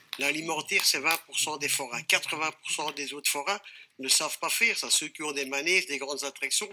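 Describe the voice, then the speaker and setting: A man talks at a fairly quick pace with a fairly high pitch and fairly even intonation. Noticeable background noise is audible. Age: 60s. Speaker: fairground operator, federation president. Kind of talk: TV debate. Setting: TV studio.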